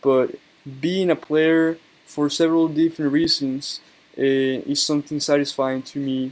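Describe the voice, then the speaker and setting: This man has a strong Colombian accent and a fairly high pitch. His delivery is monotone and flat, at a moderate pace. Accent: heavy Colombian Spanish. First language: Spanish. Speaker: YouTuber, card game player. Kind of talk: casual monologue video. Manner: hesitant, many fillers.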